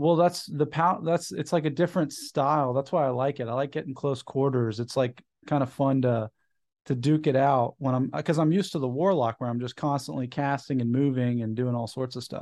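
A man's plain, everyday voice, fairly high in pitch with ordinary pitch variation, at a fairly quick pace against a quiet background. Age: 30s. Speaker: podcast host. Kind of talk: casual chat.

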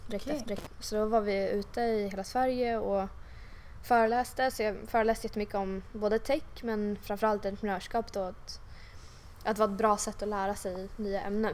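A woman talks at a fairly quick pace with a fairly high pitch. Her intonation is monotone and flat. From Stockholm suburbs (Huddinge). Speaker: tech entrepreneur. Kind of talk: interview. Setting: office. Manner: hesitant, many fillers.

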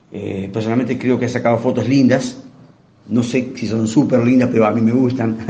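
Over audible room echo, a man talks at a fairly quick pace with a medium pitch and monotone, flat intonation. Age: 50s. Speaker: journalist and TV channel director. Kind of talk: interview.

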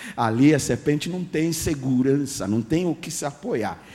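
A man's dark, mellow voice in an English accent, with vocal fry, very wide pitch swings and audible room echo. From Ghana. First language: English (speaking Portuguese). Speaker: guest pastor. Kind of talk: sermon.

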